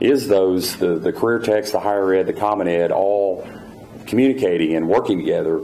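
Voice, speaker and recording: Keeping a very even loudness, a man with an Oklahoma accent talks at a fairly quick pace. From Oklahoma, Tulsa. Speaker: state official. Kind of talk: Q&A answer at luncheon. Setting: luncheon with audience. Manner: halting, many fillers.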